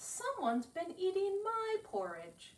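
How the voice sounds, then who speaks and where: Here a woman puts on a character voice at an extremely high pitch. She talks fairly slowly. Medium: read story.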